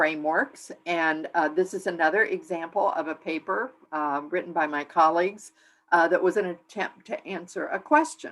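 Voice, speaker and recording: Her voice is fairly low, and her intonation fairly even. The woman keeps to a moderate pace. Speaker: implementation science researcher, guest speaker. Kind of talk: lecture. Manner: hesitant, many fillers.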